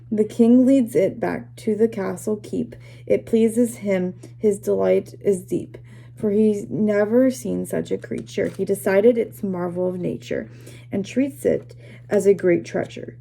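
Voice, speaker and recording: A woman does a raspy, put-on character voice, fairly low in pitch with very wide pitch swings, at a moderate pace. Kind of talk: classroom read-aloud. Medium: read story. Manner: halting, self-correcting.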